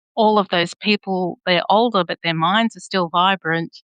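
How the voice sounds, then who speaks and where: A woman with an Australian accent talks at a fairly slow pace in a medium pitch with fairly even intonation, her sound dry and close with no echo. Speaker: podcast host. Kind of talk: interview conversation.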